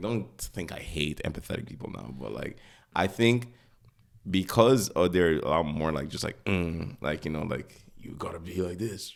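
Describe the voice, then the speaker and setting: This man's voice sits very deep and low, with lively intonation. He talks at a moderate pace. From Nigeria. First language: not English. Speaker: podcast co-host. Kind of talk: casual chat. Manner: halting, many fillers.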